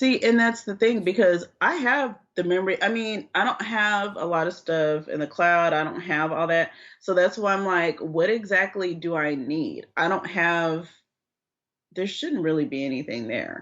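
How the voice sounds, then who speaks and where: A woman talks in an ordinary speaking voice at medium pitch and moderate pace, with lively intonation. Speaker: podcast co-host. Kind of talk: casual chat.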